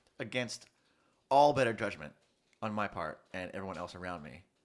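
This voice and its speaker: A man's very deep, low voice with vocal fry and an American accent, on a very clean recording with a silent background. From US. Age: 30s. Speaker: student. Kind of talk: casual chat.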